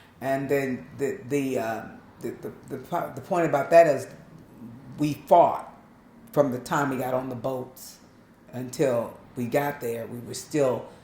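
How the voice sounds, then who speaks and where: In an American accent, a woman speaks fairly slowly with a very deep, low pitch, ordinary pitch variation, and long, frequent pauses. Her loudness swings widely, and room echo is audible. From Long Beach, California, Southern family roots. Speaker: interviewee sharing life story. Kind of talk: interview testimony.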